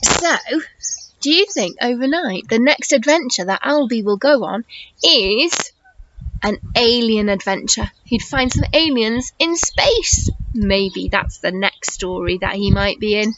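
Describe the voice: Fairly slow pace, lively intonation and a fairly bright tone. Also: woman, fairly high pitch for a woman.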